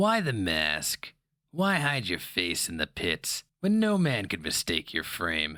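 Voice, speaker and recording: On a very clean recording with a silent background, a man uses a put-on character voice at a fairly slow pace. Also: fairly low pitch for a man. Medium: read story. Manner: sneering, insinuating.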